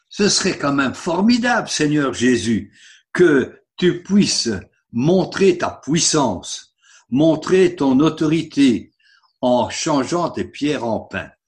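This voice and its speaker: A man speaks very slowly at a fairly high pitch with lively intonation. The background is quiet. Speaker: preacher. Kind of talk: sermon. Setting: online service. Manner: earnest, didactic, persuasive; rhetorical, engaging the congregation.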